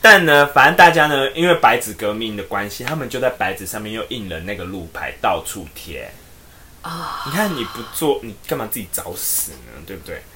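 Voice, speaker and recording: Over noticeable background noise, a man speaks at medium pitch and a moderate pace, with big swings in loudness and very wide pitch swings. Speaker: podcast co-host. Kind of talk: casual chat.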